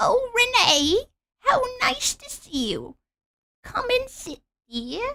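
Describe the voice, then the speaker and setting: A woman's put-on character voice at an extremely high pitch, very slow pace, big swings in loudness, and long, frequent pauses. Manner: warm, welcoming.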